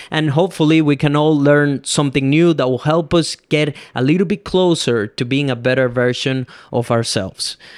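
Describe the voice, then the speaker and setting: In a Venezuelan accent, a man talks at a moderate pace with fairly high pitch and ordinary pitch variation. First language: Spanish. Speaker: podcast host and filmmaker. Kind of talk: solo podcast monologue. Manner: casual, conversational.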